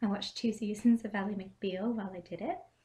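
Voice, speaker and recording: A woman talks at a moderate pace and medium pitch, somewhat breathy, with a dark, mellow tone and ordinary pitch variation. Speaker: cosplayer. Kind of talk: craft tutorial to camera. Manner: casual, hesitant.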